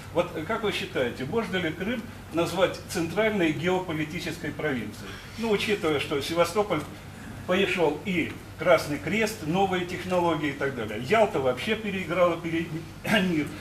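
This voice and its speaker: Over light background noise and audible room echo, a man talks in a high pitch. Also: ordinary pitch variation, moderate pace. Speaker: audience member. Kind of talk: audience question. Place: hall.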